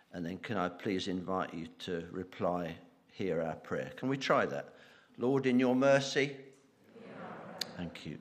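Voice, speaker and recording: There is audible room echo around a man's voice. He speaks at a fairly slow pace with lively intonation. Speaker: church member leading prayers. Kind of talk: intercessory prayer in church service.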